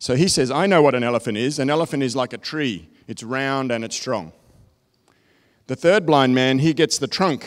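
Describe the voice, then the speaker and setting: This man talks at a moderate pace in a medium pitch, with ordinary pitch variation. The recording is very clean, with a silent background. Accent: Australian. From Australia. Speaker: technology consultant. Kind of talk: keynote presentation. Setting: stage with audience.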